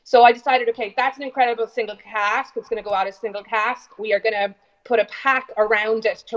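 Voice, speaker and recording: In an Irish accent, a woman speaks at a fairly quick pace. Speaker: whiskey company founder. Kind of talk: interview. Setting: video call. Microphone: internet call audio, not studio quality.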